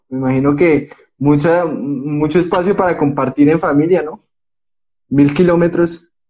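Speaking at a fairly slow pace, a man with a fairly high pitch and ordinary pitch variation has an unremarkable speaking voice. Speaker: sports podcast host. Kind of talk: interview. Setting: Instagram live video call.

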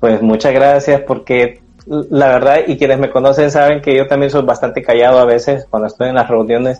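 Over music in the background, a man talks at a moderate pace with hardly any pauses and a monotone, flat intonation. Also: medium pitch for a man. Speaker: running podcast host. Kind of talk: interview guest, casual chat.

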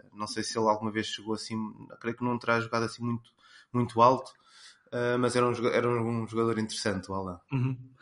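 Though a man speaks at a very fast pace in a medium-pitched, monotone, flat intonation, he leaves long, frequent pauses. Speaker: sports commentator. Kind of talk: casual chat.

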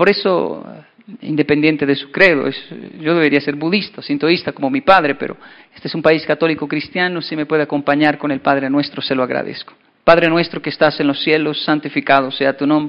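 Talking at a fairly quick pace, a man keeps a monotone, flat intonation. His voice sits fairly high. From Colombia and Japan (Japan from age 10 to 24). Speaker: motivational speaker. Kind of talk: keynote talk.

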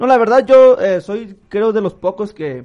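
A dark, mellow tone at a moderate pace. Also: man. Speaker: podcast co-host. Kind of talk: casual chat.

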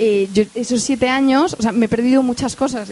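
A woman speaks at a moderate speed as noticeable noise sounds in the background. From Spain, Madrid. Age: 30s. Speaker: entrepreneur. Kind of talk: onstage interview.

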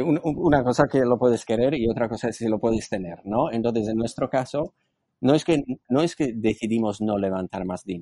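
Against a quiet background, a man's medium-pitched voice has a dark, mellow tone and ordinary pitch variation. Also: moderate pace. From Slovakia. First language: Slovak (speaking Spanish). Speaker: entrepreneur and business angel. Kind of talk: interview. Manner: halting.

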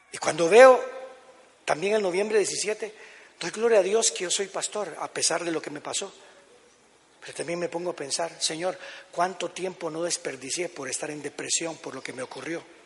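Over noticeable background noise, the speech moves at a moderate pace with ordinary pitch variation, big swings in loudness and long, frequent pauses. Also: man, high pitch for a man. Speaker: pastor. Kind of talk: sermon.

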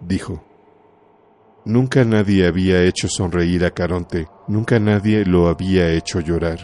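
Very slowly, a man speaks in a very deep, low voice with a dark, mellow tone and fairly even intonation. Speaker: audiobook narrator. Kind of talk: literary audiobook reading, solemn scripted narration.

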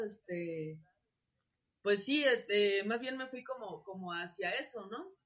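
A woman with a Mexican accent, medium pitch, ordinary pitch variation and a very slow pace. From Mexico, Acapulco (Guerrero). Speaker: industrial designer and workshop teacher. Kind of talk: casual interview. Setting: video call. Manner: halting, many fillers and repetitions.

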